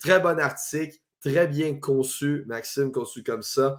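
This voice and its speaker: In a Quebec accent, a man talks at a fairly slow pace with a fairly high pitch. The recording is very clean, with a silent background. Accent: Québécois French. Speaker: sports podcast host. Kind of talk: sports talk show. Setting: Facebook live stream.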